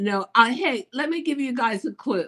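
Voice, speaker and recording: Her tone is bright and sharp. The woman's intonation is lively. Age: 70s. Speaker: fashion designer and author. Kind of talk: casual interview.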